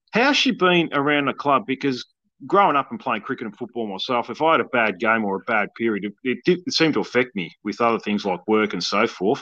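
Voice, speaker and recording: In an Australian accent, a man speaks at a fairly quick pace with lively intonation, medium pitch, and a bright, sharp tone, the sound dry and close with no echo. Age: 40s. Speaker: podcast host. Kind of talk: interview. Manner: halting.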